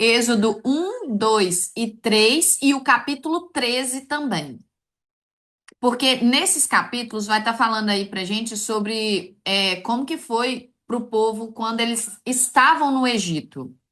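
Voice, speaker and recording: The speech moves at a very slow pace with a bright, sharp tone and lively intonation. The background is quiet. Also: woman, fairly high pitch for a woman. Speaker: online course teacher. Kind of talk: live online class.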